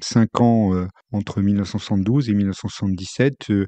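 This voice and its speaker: This man's voice sits fairly low. The intonation stays fairly level throughout. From France, Haute-Saône (Franche-Comté). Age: 60s. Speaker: former senior civil servant. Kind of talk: life-story interview. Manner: halting, many hesitations.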